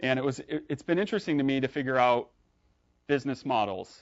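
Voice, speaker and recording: The pace is fairly quick, with long, frequent pauses. Pitch varies in an ordinary way. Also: man. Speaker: tech startup founder and speaker. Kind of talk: meetup tech talk. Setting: live meetup with audience. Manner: fast; hesitant, many fillers and restarts.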